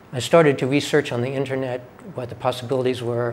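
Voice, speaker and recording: A man with an American accent speaks at a fairly quick pace in a monotone, flat intonation, with noticeable background noise behind him. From New York City. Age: 60s. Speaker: patient. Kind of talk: testimony.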